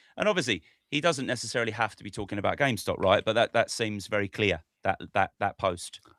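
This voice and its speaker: A man with a British accent speaks very fast at medium pitch with ordinary pitch variation, the sound dry and close with no echo and the recording very clean over a silent background. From Britain. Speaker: stock market podcast host. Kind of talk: casual chat.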